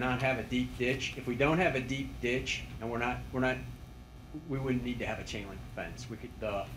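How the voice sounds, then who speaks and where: With audible room echo, the voice moves at a moderate pace with ordinary pitch variation. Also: man. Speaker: highway project engineer. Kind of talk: public meeting answer. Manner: loud; halting.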